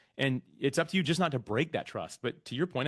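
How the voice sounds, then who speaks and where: A man's lively intonation and fairly quick pace stand out against a quiet background. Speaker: podcast platform founder. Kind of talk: interview conversation. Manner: fast.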